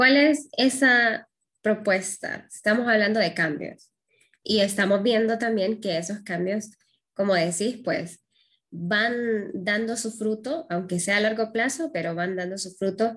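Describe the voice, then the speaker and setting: An unremarkable speaking voice from a woman, fairly high in pitch with ordinary variation, at a fairly slow pace against a quiet background. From Honduras. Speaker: interviewer. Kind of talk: interview. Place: home room. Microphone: webcam.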